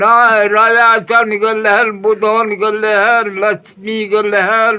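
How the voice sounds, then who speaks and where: Against noticeable background noise, a man uses a raised, projected voice at a high pitch, with very even loudness, monotone, flat intonation and hardly any pauses. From Bhatrandha, India. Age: 80s+. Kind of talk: interview answer.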